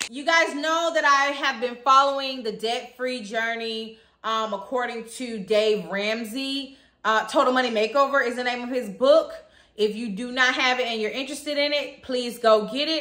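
A woman's high voice has a bright, sharp tone, with audible room echo and a quiet background. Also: ordinary pitch variation, moderate pace. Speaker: vlogger. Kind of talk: casual vlog chat. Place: home room. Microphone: phone near.

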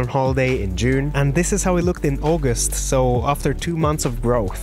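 Clear music plays in the background while a man speaks in a dry sound with no echo. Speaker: vlogger. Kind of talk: casual vlog chat. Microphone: lapel.

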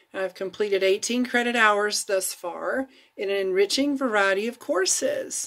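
A woman with an American accent at a moderate pace, ordinary pitch variation, and a quiet background. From Florida, USA. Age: 50s. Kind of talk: read-aloud personal testimony blog. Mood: earnest, warm, reflective. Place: home room. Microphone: phone near.

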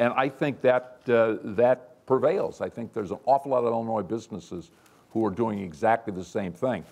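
A man's speech moves at a moderate pace, and his pitch varies in an ordinary way. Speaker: manufacturing company CEO; panelist. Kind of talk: panel discussion. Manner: humorous. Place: hall.

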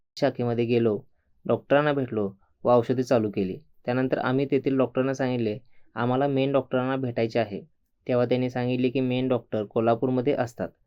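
A man with a normal speaking voice, medium pitch and fairly even intonation. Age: 60s. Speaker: patient. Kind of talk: testimony.

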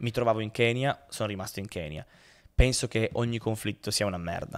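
A man talks at a fairly quick pace with a fairly low pitch. It is a plain, everyday voice against a quiet background. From Turin, northern Italy; northern Italy. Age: 20s. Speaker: pianist and humanitarian worker; podcast guest. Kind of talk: casual interview. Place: studio. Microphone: studio mic.

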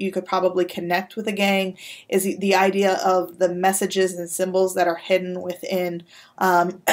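The intonation stays monotone and flat. The background is quiet. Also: woman. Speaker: university lecturer. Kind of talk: recorded lecture. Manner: hesitant, many fillers. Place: office. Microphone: webcam.

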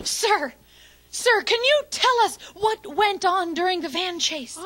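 In a cartoonish character voice, a female-sounding speaker talks at a fairly slow pace with an extremely high pitch for a woman. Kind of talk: live TV news report. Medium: puppet show. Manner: dramatic, overeager.

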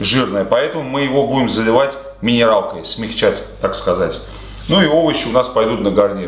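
In audible room echo, a man talks at a very even loudness. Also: moderate pace. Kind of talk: cooking tutorial. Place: home room.

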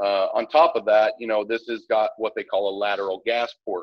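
At a moderate pace, a man talks against a quiet background in a dry sound with no echo. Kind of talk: interview answer. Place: workshop.

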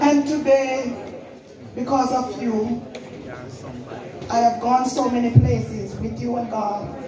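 At a very slow pace, a woman talks in a high, monotone, flat voice, with audible room echo and noticeable background noise. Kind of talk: emotional tribute speech. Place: church.

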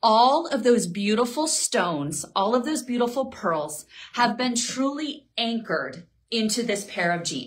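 At a fairly slow pace, a woman speaks with very wide pitch swings. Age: 40s. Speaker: fashion stylist livestream host. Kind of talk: live shopping stream. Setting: at home. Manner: animated. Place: home room.

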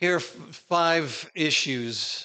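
Against a quiet background, a man speaks with an American accent. His tone is bright and sharp, with ordinary pitch variation. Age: 60s. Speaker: preacher; conference speaker. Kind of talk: sermon. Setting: stage with audience. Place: church.

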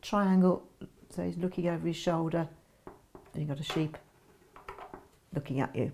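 With vocal fry and a dark, mellow tone, a woman speaks at a moderate pace in a fairly low pitch with ordinary pitch variation.

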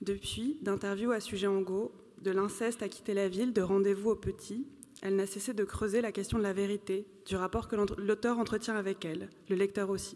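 With a normal speaking voice, a woman talks at a moderate pace and medium pitch, her intonation fairly even. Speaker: moderator. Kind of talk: moderated literary panel. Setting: stage with audience. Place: hall. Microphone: podium.

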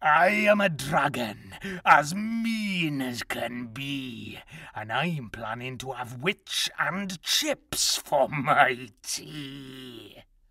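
A woman uses a put-on character voice pitched extremely low, with a bright, sharp tone. She speaks at a very slow pace with ordinary pitch variation.

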